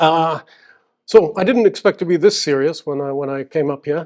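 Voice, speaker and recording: A man with a slight British accent at a moderate pace. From UAE, schooled in the UK. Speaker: seminar speaker, Emirati official. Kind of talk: public talk. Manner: halting, many fillers.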